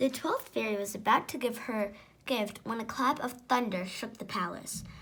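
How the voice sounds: Pitch shifts in an ordinary way across this natural reading voice.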